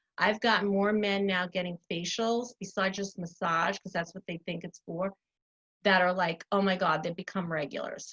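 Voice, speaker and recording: A woman speaks at a medium pitch and a moderate pace. Her intonation is fairly even, and the sound is dry and close with no echo. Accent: Long Island. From US Northeast. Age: 60s. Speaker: spa owner. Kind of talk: casual interview.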